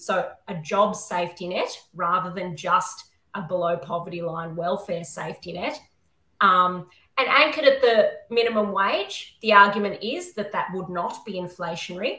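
An Australian accent in a bright, sharp tone at a moderate pace, with ordinary pitch variation, big swings in loudness, audible room echo and a quiet background. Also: woman. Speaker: constitutional lawyer and academic; constitutional lawyer. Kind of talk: panel discussion. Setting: video call. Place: home room. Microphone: webcam.

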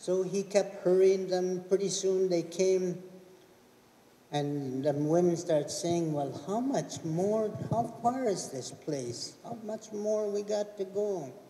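At a very slow pace, a man speaks at a high pitch with ordinary pitch variation, with audible room echo and light background noise. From Okanagan, British Columbia; British Columbia. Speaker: elder storyteller. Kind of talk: storytelling.

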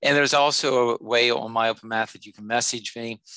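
A man talks at a fairly quick pace. The background is quiet and the sound is dry with no echo. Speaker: math instructor. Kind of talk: tutorial. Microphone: headset.

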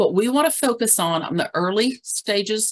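A woman talks with lively intonation while the background stays quiet. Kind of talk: webinar presentation. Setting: video call. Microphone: video call.

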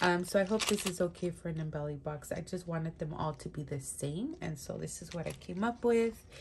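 A woman's fairly low voice sounds somewhat breathy, with ordinary pitch variation at a moderate pace. Light background noise is present. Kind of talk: casual show-and-tell chat. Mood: cheerful, amused. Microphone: phone near.

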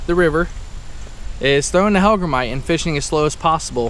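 With a high pitch and ordinary pitch variation, a man speaks in a dry sound with no echo over light background noise. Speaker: fishing vlogger. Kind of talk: casual vlog chat. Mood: upbeat, relaxed. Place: waterside. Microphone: phone near.

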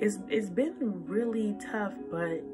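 A woman talks very slowly while clear music plays behind her. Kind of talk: encouraging devotional vlog talk. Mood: earnest, encouraging. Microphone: phone near.

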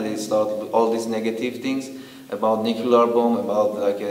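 A man's monotone, flat delivery in an Iranian accent, with audible room echo. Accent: Iranian (Persian) accent in English. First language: Persian. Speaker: documentary interviewee. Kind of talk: interview answer. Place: home room.

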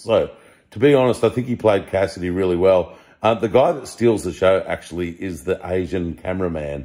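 Low-pitched and slightly mellow, a man speaks at a moderate pace with ordinary pitch variation.

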